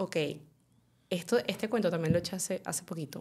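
A woman speaks with ordinary pitch variation. The recording is very clean and the background silent. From Venezuela. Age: 20s. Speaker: chef and adult content creator. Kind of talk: interview.

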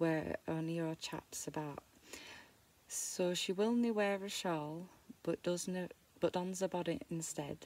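With a Yorkshire accent, a woman speaks at a fairly slow pace in a fairly low voice with ordinary pitch variation and long, frequent pauses, the sound dry with no echo. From Yorkshire, England. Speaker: amateur reader of dialect poetry. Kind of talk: dialect poetry reading. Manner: halting, stumbling over words. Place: home room.

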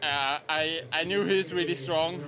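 A man speaks fairly slowly in a Swiss German accent, with fairly even intonation. There is noticeable background noise. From Switzerland. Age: 20s. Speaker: professional cyclist, stage winner. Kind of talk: post-race interview. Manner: hesitant, halting, sincere. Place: street. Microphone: handheld.

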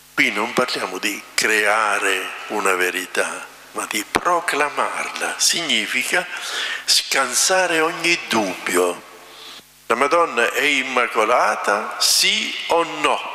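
At a very slow pace, a man with a medium pitch speaks in very wide pitch swings over audible room echo. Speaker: priest. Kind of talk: sermon. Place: church. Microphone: podium.

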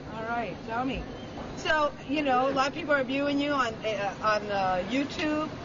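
Noticeable background noise runs under the voice. The speech moves at a moderate pace. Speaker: TV reporter. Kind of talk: street interview questions. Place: street. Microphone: phone near.

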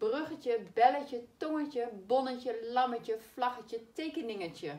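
The voice moves at a fairly slow pace with lively intonation. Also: woman. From Netherlands. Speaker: primary school teacher. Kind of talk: spelling lesson for children. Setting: recorded video lesson. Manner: slow, clearly articulated. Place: classroom. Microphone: camera far.

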